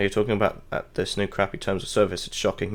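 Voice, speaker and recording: Someone mumbling in a British accent. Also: man. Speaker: gaming streamer. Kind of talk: casual live stream rant. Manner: halting.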